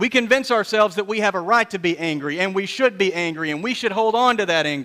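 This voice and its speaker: On a very clean recording with a silent background, a man raises and projects his high-pitched voice, bright and sharp in tone, with lively intonation at a fairly quick pace. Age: 30s. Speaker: pastor. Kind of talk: sermon. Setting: church.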